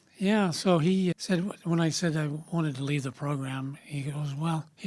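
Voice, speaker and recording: A man with an American accent speaks at a fairly high pitch in a somewhat breathy voice, with ordinary pitch variation. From US Midwest, Kansas. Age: 70s. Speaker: investment firm founder. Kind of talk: interview. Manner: casual, conversational.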